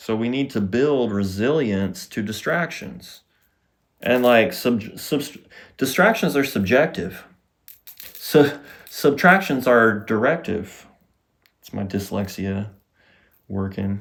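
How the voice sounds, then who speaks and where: Speaking very slowly in a Southern US accent, a man uses a medium pitch and lively intonation, with big swings in loudness and long, frequent pauses. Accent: Southern US drawl. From US South. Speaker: podcast host, healing coach. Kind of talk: casual monologue.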